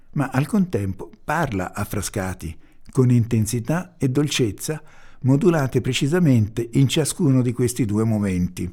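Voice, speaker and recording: The speech moves at a fairly slow pace, dark and mellow in tone, with lively intonation. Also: man. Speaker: podcast announcer. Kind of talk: scripted introduction reading.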